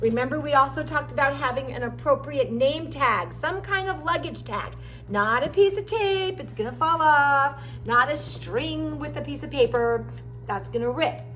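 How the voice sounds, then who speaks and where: A woman's moderately paced speech comes through with audible room echo and noticeable background noise. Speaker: music teacher. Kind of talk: tutorial.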